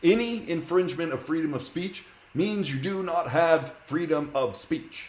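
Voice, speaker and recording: A man's high voice with an American accent at a fairly slow pace, with ordinary pitch variation over noticeable background noise. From United States. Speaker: streamer debating strangers in video chat. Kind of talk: heated debate. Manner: argumentative, interrupting.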